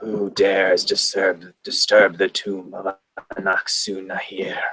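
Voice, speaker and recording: The low voice is a put-on character voice. It goes at a fairly slow pace. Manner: monotone.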